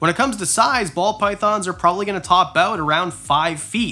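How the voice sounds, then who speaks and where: A man speaks with a bright, sharp tone. His pace is fairly quick. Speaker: reptile keeper youtuber. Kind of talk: casual vlog chat. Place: home room.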